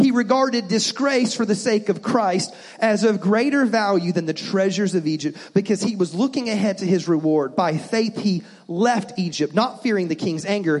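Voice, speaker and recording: At a moderate pace, a man with a high voice talks with ordinary pitch variation and very even loudness over noticeable background noise. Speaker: preacher. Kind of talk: sermon. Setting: church. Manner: warm, animated, encouraging; call-and-response, rousing, repeating key lines.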